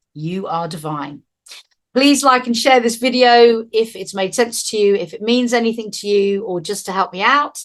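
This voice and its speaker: The woman speaks at a moderate pace with a fairly high pitch and lively intonation. Her loudness swings widely. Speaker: spiritual teacher. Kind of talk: spiritual talk.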